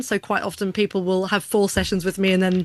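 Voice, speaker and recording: Against a quiet background, a woman with a medium-pitched voice talks at a fairly quick pace in a flat, monotone delivery. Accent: English. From southern England, Hampshire (Aldershot, Odiham). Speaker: business coach and keynote speaker. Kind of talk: casual interview chat.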